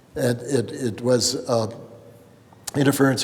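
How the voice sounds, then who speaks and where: Noticeable background noise sits behind a man whose medium-pitched voice runs in a monotone, flat intonation. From California. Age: 80s+. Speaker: abstract painter. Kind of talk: gallery talk. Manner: halting, with frequent repetitions and fillers.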